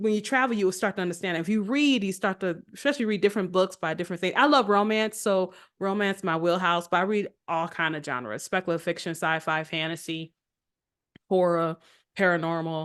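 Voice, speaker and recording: At a fairly quick pace, a woman with an American accent speaks at a medium pitch with ordinary pitch variation against a quiet background. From United States. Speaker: author. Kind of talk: podcast interview. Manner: loud.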